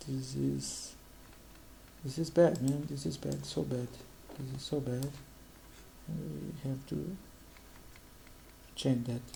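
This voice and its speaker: Speech in a Portuguese accent comes very slowly, with long, frequent pauses. Room echo is audible. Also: man. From Brazil. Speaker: economist, channel host. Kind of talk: informal explainer presenting data on screen. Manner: halting, frequent hesitations and restarts.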